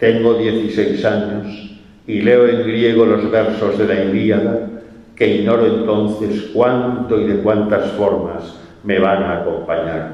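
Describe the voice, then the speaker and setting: Against noticeable background noise and audible room echo, a man speaks very slowly in a fairly low pitch with fairly even intonation. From Spain, Valencia. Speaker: poet. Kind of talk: poetry reading.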